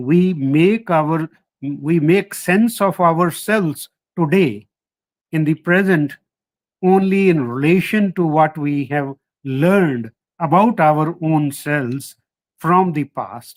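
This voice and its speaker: On a dry, close recording with no echo, a man with a Punjabi accent speaks very slowly at a fairly high pitch with ordinary pitch variation. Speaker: historian, professor. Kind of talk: lecture. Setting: online lecture. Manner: halting, with fillers.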